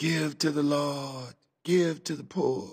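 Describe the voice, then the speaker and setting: In a put-on character voice, a man speaks soft-spoken and husky at a fairly high pitch and a fairly slow pace. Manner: murmuring, prayerful.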